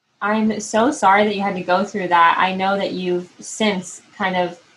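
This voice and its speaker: With an American accent, a woman at a medium pitch speaks in fairly even intonation against noticeable background noise. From California. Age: 20s. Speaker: podcast host. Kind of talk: casual chat.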